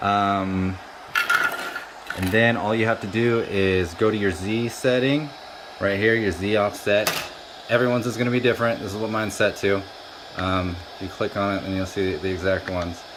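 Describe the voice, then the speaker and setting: A man with a fairly low pitch talks in a fairly even intonation, leaving long, frequent pauses, with audible room echo and noticeable background noise. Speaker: 3D printing YouTuber. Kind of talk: casual product review tutorial. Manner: fast; casual, filler-heavy.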